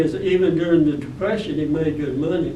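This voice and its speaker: A man with an Alabama accent speaks in a fairly high voice at a moderate pace, his intonation fairly even. Audible room echo and noticeable background noise come through. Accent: Southern US (Alabama). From US South, Alabama (Birmingham). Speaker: war veteran. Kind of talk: testimony. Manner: halting.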